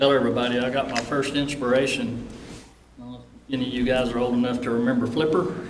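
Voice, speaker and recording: A man talks very fast at a medium pitch, his intonation monotone and flat. His loudness swings widely, with audible room echo and noticeable background noise. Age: 60s. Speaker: retiring game warden. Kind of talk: retirement remarks.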